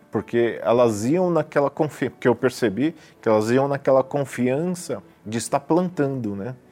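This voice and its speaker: Music plays in the background as a man speaks at a medium pitch and moderate pace with ordinary pitch variation. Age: 40s. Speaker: businessman, church member. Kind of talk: testimony. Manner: hesitant, frequent fillers.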